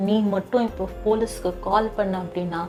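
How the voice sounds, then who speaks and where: Over music in the background, the speaker talks with monotone, flat intonation. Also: woman. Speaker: story narrator. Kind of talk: horror story narration.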